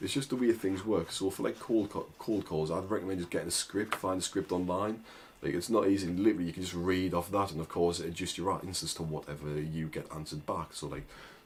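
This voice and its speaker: At a very fast pace, a man with a very deep, low pitch talks in a strong northern English accent. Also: ordinary pitch variation, hardly any pauses. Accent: thick northern English. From northern England. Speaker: agency owner and online business coach. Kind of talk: casual tutorial to camera. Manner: informal, with many fillers and restarts.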